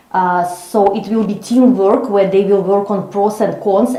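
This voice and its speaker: A woman with a non-native accent, medium pitch and fairly even intonation, amid noticeable background noise and audible room echo. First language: not English. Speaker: psychologist and coach. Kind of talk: interview. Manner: slow, deliberate; halting, many fillers.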